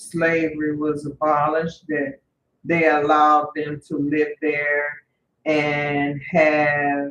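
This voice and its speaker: A woman with a Louisiana accent, very deep, low pitch, monotone, flat intonation and a very slow pace. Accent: acquired Louisiana. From Northern California, Bay Area. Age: 50s. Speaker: vlogger. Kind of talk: personal storytelling. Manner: halting, with fillers.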